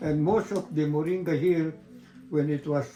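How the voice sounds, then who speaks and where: A man talks at a moderate pace in a fairly high voice. Music plays in the background. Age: 90s. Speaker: moringa farmer. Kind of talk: interview. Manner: halting.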